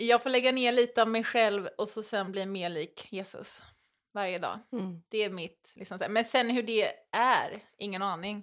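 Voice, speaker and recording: A woman with an ordinary speaking voice talks at a fairly slow pace and fairly high pitch, with fairly even intonation. Her loudness swings widely on a very clean recording with a silent background. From western Sweden, island near Gothenburg. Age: 30s. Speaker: reality TV contestant. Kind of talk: casual interview chat. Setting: at the host's home.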